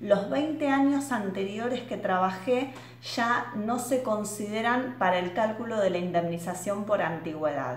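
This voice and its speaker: Amid audible room echo, a woman speaks at a fairly slow pace with hardly any pauses and very wide pitch swings. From Argentina. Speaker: pension lawyer. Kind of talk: explainer video. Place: office. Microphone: webcam.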